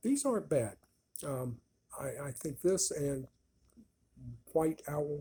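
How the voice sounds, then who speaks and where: A man speaks at a very slow pace with a fairly high pitch. His tone is dark and mellow, and somewhat breathy. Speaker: cigar reviewer. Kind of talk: casual product review. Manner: halting, slurred speech after a stroke; relaxed, slow.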